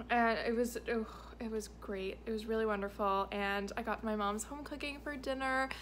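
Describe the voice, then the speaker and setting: A woman talks at a moderate pace over light background noise. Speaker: travel vlogger. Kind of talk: casual vlog chat. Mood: warm, content. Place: home room. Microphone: phone near.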